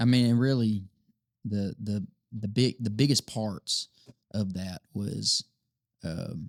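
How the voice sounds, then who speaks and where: A man's fairly low voice with a Southern US accent, very slow with long, frequent pauses, in a dry, close sound with no echo. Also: ordinary pitch variation. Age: 20s. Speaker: worship leader and songwriter. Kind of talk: casual chat.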